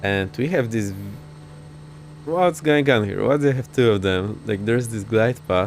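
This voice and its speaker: A man's medium-pitched voice at a fairly slow pace, with very wide pitch swings and music in the background. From Poland. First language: Polish. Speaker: flight sim streamer. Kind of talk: live gameplay commentary. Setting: live stream.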